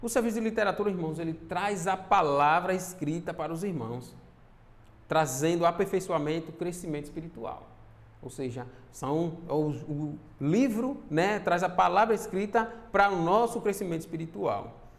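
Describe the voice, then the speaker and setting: A man speaks at a high pitch. Room echo is audible in the recording. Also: lively intonation, moderate pace. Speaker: church minister / preacher. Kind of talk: sermon. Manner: halting, many fillers.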